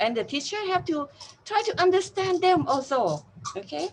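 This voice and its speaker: A woman speaks with a Thai accent. Her pitch swings very widely. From Thailand. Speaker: university teacher. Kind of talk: interview. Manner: halting.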